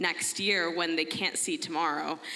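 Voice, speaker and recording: A woman with an American accent at a moderate pace, over noticeable background noise. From United States. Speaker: audience member asking a question. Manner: loud.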